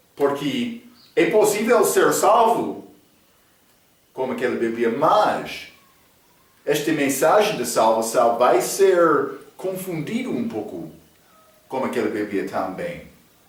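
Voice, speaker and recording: Talking very slowly with long, frequent pauses, a man with an English accent swings his pitch very widely in a room with audible echo. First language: English (speaking Portuguese). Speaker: Bible teacher. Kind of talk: Bible study lecture. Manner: halting, with fillers.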